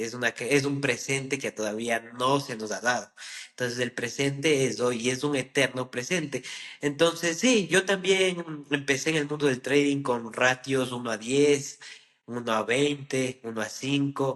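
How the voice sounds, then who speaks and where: A man speaks at a fairly slow pace, his medium-pitched voice showing ordinary pitch variation. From Ecuador. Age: 20s. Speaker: trader. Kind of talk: interview. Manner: halting.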